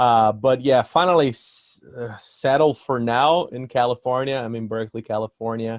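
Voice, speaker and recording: A man with a Portuguese accent and medium pitch talks at a moderate pace with fairly even intonation and hardly any pauses, recorded dry and close with no echo. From Brazil, São Paulo State. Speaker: musician. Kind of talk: casual interview.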